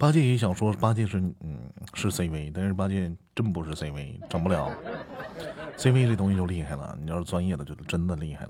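A man's very deep, low voice at a moderate pace with lively intonation. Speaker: amateur audiobook narrator. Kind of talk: casual chat. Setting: live stream co-host call.

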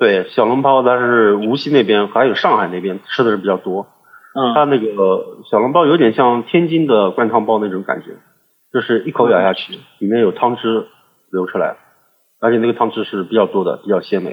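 A man with an ordinary speaking voice, at a fairly quick pace and medium pitch, with ordinary pitch variation. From China, Suzhou. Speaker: podcast guest. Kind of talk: casual chat.

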